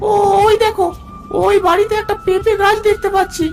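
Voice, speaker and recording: An extremely high, cartoonish character voice moves at a moderate pace over clear background noise. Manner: bossy, greedy.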